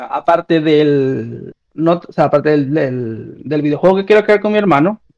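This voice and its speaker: A man with an unremarkable speaking voice talks fairly slowly at a fairly high pitch, with ordinary pitch variation. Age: 30s. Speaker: streamer. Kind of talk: casual chat.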